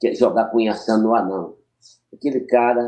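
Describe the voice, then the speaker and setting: A man's dark, mellow tone at a medium pitch, with fairly even intonation and a moderate pace. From Maranhão, Brazil. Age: 70s. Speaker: capoeira master. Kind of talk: podcast interview. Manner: halting.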